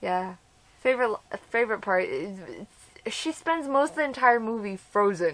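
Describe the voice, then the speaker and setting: A woman speaks at a fairly high pitch. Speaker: vlogger. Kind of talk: casual vlog monologue. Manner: fast; animated.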